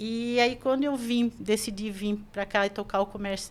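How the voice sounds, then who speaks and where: Noticeable background noise behind a woman's fairly high voice with ordinary pitch variation. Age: 60s. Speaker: shop owner. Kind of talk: podcast interview.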